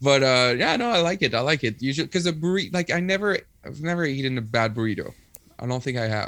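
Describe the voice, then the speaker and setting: Talking at a very fast pace, a man with a Quebec accent has a fairly high pitch and lively intonation. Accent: Québécois French accent in English. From Quebec, Rimouski (eastern Quebec). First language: French. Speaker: punk musician and English teacher. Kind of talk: casual chat. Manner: halting.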